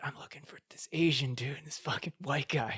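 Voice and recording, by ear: A man's raspy, put-on character voice at a fairly high pitch, fairly quick and fairly even in intonation, with big swings in loudness and a dry, close sound with no echo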